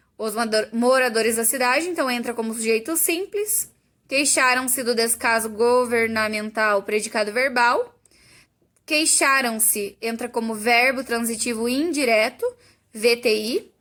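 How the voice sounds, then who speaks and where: Speaking at a fairly slow pace, a woman has a bright, sharp tone and a high pitch with ordinary pitch variation. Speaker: teacher. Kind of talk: tutorial.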